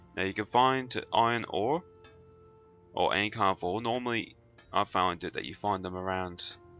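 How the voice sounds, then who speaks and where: Music plays in the background. A man speaks at a fairly low pitch with ordinary pitch variation. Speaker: gamer. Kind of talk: game tutorial narration. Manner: casual, hesitant.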